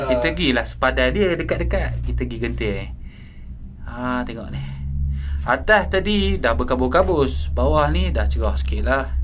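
Speech unfolds at a moderate pace while background noise stays noticeable. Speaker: tourist filming the ride. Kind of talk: casual vlog commentary. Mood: relaxed, briefly awed by height. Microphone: phone near.

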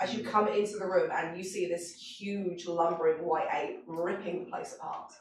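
A woman with a slightly mellow tone and fairly low pitch speaks at a moderate pace with fairly even intonation, with audible room echo around her.

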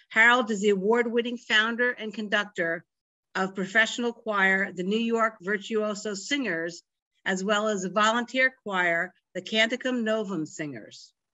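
Over a quiet background, a woman uses a normal speaking voice at a moderate pace, fairly high in pitch with ordinary pitch variation. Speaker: library program host. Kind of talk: introduction and closing remarks. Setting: video call. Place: home room. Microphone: video call.

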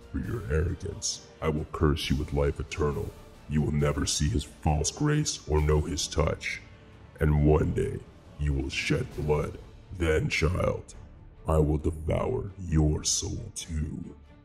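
Over clear music in the background, a man performs a put-on character voice at a fairly slow pace. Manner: contemptuous, menacing.

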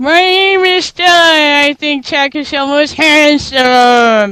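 The voice is a put-on character with a high pitch. Its pace is fairly slow. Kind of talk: silly, awkward. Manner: cartoonish, exaggerated.

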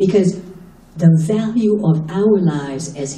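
A woman speaks at a very slow pace with ordinary pitch variation, and audible room echo can be heard. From Haiti-born, raised in the US. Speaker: human rights attorney and activist; human rights attorney. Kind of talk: panel talk. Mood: impassioned, critical. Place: hall.

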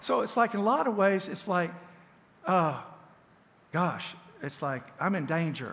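A man's high-pitched voice with a Southern US accent, lively intonation, a moderate pace and long, frequent pauses. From Tennessee. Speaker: counselor and author; pastor or teacher. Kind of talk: sermon. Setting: church. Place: church.

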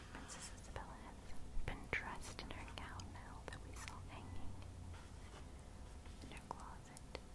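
Soft-spoken whispering at a fairly slow pace. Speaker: storybook reader. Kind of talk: read-aloud storytelling with commentary. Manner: soft ASMR whisper, describing the page. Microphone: phone near.

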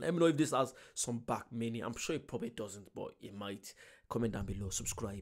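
Against a quiet background, a man talks. His pace is very fast. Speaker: reaction video host. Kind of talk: casual reaction commentary. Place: home room. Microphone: studio mic.

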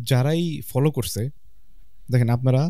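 The voice has a dark, mellow tone and a dry sound with no echo. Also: man. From Bangladesh. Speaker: fitness coach. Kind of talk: casual chat. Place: studio. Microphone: studio mic.

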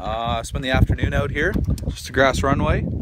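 Loud noise fills the background. A man's voice comes through dry, with no echo. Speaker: vlogger visitor. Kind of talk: casual vlog chat. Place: open country. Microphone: phone near.

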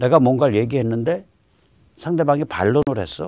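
With vocal fry, a man talks at a moderate pace against a quiet background. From South Korea. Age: 60s. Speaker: political commentator. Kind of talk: lecture. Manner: animated. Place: studio. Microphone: lapel.

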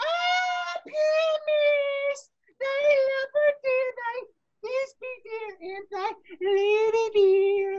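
A female-sounding voice uses a put-on character voice, squeaky and extremely high in pitch. She talks at a very slow pace with long, frequent pauses. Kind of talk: archaic, theatrical.

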